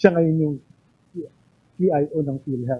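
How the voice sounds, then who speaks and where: This man's voice sits fairly high. His pitch varies in an ordinary way. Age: 50s. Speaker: doctor and former health official, IT governance lecturer. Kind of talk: lecture. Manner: animated.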